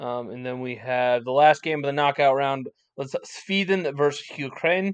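A man with an unremarkable speaking voice, a fairly high pitch and ordinary pitch variation, against a quiet background. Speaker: podcast host. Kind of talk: casual chat.

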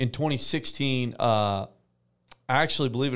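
In an American accent, a man with an ordinary speaking voice talks at a moderate pace with ordinary pitch variation. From US South, Tennessee (near Nashville). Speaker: professional arena football quarterback. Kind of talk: casual interview.

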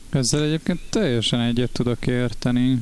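At a moderate tempo, a man talks in an unremarkable speaking voice. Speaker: band member and podcast co-host. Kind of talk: casual chat.

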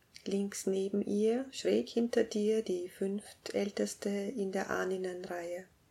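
Speaking at a very slow pace with hardly any pauses, a woman with a calm, soothing, dark, mellow tone holds a medium pitch and ordinary pitch variation. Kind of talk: guided meditation. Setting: music plays in background. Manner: slow, calm, soothing, with long pauses; gentle, directive, hushed and unhurried.

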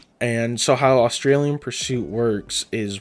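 On a very clean recording with a silent background, a man uses an ordinary speaking voice at a medium pitch with ordinary pitch variation. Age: 20s. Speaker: podcast host. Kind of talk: casual monologue.

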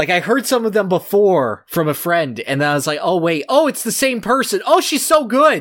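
A man talks at a high pitch with very wide pitch swings and hardly any pauses. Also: moderate pace. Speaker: podcast host. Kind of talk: casual chat.

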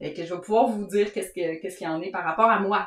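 Talking at a very fast pace, a woman keeps a medium pitch and fairly even intonation against noticeable background noise. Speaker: knitting podcast co-host. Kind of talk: casual chat.

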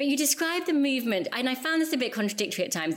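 A woman talks at a very fast pace, her pitch swinging very widely. The recording is very clean, with a silent background. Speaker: podcast host. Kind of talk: interview conversation.

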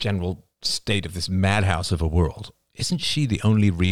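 Against a quiet background, a natural voice reads aloud, its intonation fairly even.

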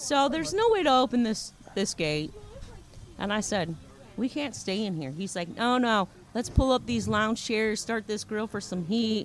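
Using an ordinary speaking voice, a woman with an American accent talks at a moderate pace. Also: fairly high pitch for a woman, lively intonation. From Ohio. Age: 50s. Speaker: storyteller guest. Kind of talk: casual chat. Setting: outdoor beach bar.

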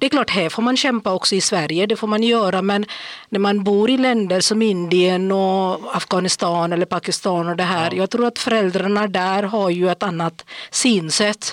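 A woman's ordinary speaking voice at medium pitch, moderate pace, very even loudness and fairly even intonation. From India. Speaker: podcast guest, day-activity worker. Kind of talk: casual chat.

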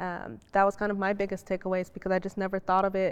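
A woman's normal speaking voice at medium pitch, at a fairly quick pace. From US Midwest. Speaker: robotics professional, panelist. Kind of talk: panel discussion. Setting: library reading room, filmed.

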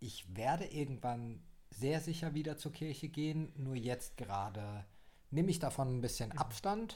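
A man speaks in a somewhat breathy, dark, mellow tone at a medium pitch. His pace is fairly slow and his pitch varies in an ordinary way. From Baden-Württemberg, Germany (Heidelberg). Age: 20s. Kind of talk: casual chat. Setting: small home desk studio.

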